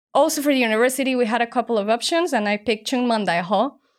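With a Spanish accent and ordinary pitch variation, the voice comes through in a very clean recording with a silent background. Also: woman. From Mexico. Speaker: startup founder and former ballerina. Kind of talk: interview.

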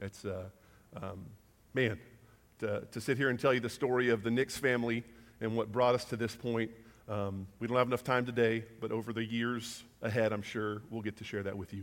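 Speaking at a moderate pace, a man uses an unremarkable speaking voice at a medium pitch with fairly even intonation. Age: 30s. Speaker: guest preacher. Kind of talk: sermon. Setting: church.

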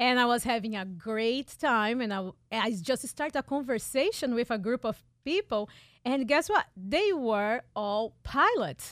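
Someone with a Portuguese accent speaks at a fairly slow pace, in a very clean recording with a silent background and a dry, close sound with no echo. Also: woman, high pitch for a woman. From Brazil, São Paulo. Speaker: pilot and marketing expert. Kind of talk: radio interview. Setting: radio studio.

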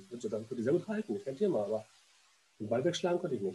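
A man's dark, mellow, somewhat breathy voice moves through very wide pitch swings. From Berlin. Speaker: former goalkeeper and goalkeeping coach. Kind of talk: casual interview. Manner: halting, with frequent repetitions and fillers.

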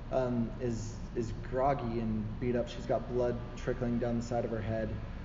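Someone reads in an unforced reading voice.

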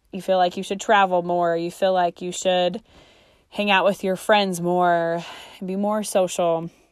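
A woman speaks at a fairly slow pace in a flat monotone, recorded very cleanly against a silent background. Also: medium pitch for a woman. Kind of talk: casual solo podcast talk. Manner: frequent fillers and laughs.

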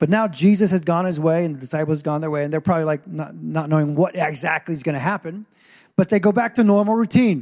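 Speaking very fast in an animated tone, a man with a fairly high pitch and ordinary pitch variation sounds dry and close, with no echo. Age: 40s. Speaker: pastor. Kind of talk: sermon.

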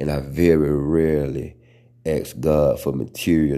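A man's very deep, low voice, dark and mellow in tone, with fairly even intonation. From US South. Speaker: podcast host. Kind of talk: casual monologue. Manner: stutters at times.

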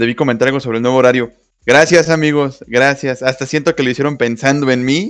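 Speaking with a Mexican accent, a man at a medium pitch talks at a fairly quick pace with fairly even intonation. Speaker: podcast co-host. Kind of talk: casual chat.

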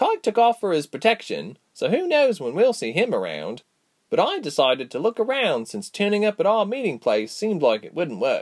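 A man puts on a character voice at a high pitch. His pace is moderate. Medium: read story. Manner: confident, lively.

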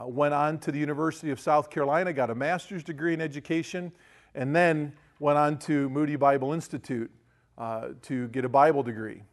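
With an American accent, a man speaks at a moderate pace against a quiet background. His pitch is fairly high, with ordinary variation. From US Midwest, Ohio. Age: 50s. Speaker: pastor. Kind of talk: lecture. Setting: stage with audience. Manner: animated.

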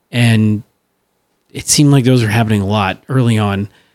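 A man talks at a fairly quick pace in a normal speaking voice. His pitch varies in an ordinary way. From St. Louis, US Midwest. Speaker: podcast co-host. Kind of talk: casual chat.

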